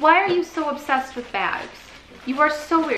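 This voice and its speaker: With an American accent, a woman projects a raised voice at a high pitch with very wide pitch swings, amid audible room echo and light background noise. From Michigan. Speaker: vlogger. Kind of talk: casual vlog chat. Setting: on location, out shopping. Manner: animated. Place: home room. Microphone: phone near.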